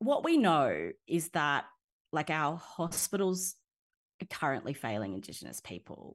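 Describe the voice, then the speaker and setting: Against a quiet background, an Australian accent comes through at a fairly slow pace with big swings in loudness. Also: woman. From Nowra, south coast of New South Wales, Australia. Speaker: public policy researcher, PhD scholar. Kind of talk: interview conversation.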